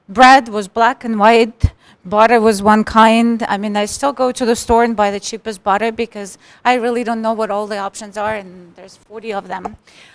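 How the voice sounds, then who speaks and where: A woman with a fairly high pitch and a Russian accent speaks at a moderate pace in a monotone, flat intonation with big swings in loudness, on a very clean recording with a silent background. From Russia, Moscow. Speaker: tech professional, immigrant panelist. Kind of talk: panel discussion.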